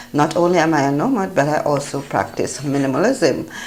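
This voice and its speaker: A woman with a very deep, low voice and a Jamaican accent, lively intonation, and noticeable background noise. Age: 50s. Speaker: travel vlogger. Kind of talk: casual travel vlog narration.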